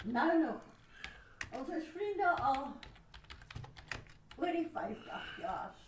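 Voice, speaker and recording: With lively intonation and an extremely high pitch, a woman speaks at a very slow pace with long, frequent pauses, amid audible room echo and noticeable background noise. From South Africa. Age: 80s+. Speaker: grandmother. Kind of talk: casual chat.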